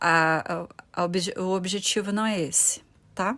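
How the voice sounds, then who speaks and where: A woman of medium pitch speaks fairly slowly with fairly even intonation on a very clean recording with a silent background. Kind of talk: bible teaching video. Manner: ironic at times.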